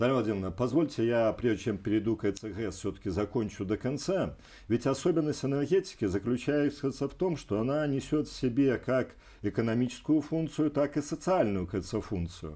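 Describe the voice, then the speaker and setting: A man talks at a moderate pace in a dark, mellow tone. His intonation is lively, and the background is quiet. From Belarus, Vitebsk; Belarus. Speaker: energy company executive and regional deputy; guest. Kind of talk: TV interview. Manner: halting. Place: studio. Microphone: lapel.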